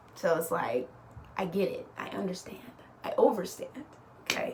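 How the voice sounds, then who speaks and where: Against noticeable background noise and audible room echo, a woman with a fairly high pitch speaks at a moderate pace. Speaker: astrologer. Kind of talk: casual explainer monologue. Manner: animated.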